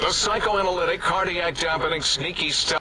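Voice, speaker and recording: Over clear background noise, a man puts on a high-pitched cartoonish character voice and speaks at a moderate pace. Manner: rambling, distracted.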